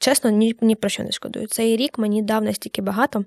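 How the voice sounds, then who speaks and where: Very clean recording of a woman with a fairly high pitch, the background silent. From Ukraine, Kamianske. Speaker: student journalist. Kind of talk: casual interview. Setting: studio.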